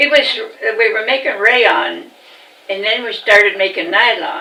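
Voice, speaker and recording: A woman with an American accent, fairly high pitch and ordinary pitch variation at a fairly slow pace, amid noticeable background noise and audible room echo. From Virginia, Augusta County (US South). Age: 90s. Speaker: elderly interviewee recalling her life. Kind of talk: oral history interview. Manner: halting.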